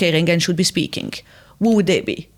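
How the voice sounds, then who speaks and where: A woman speaks with a French accent and ordinary pitch variation. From France. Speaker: podcast host. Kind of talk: interview.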